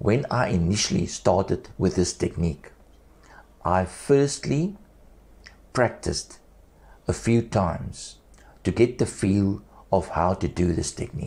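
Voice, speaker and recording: Speaking at a fairly slow pace with long, frequent pauses, a man uses a fairly low pitch, a dark, mellow tone, lively intonation and a somewhat breathy quality. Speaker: esophagectomy survivor speaking without vocal cords. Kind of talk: personal health testimony and instruction.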